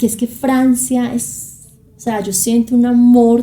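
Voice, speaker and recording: Speaking at a very slow pace, a woman has a dark, mellow tone and a somewhat breathy voice. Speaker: journalist and documentary maker. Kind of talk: interview.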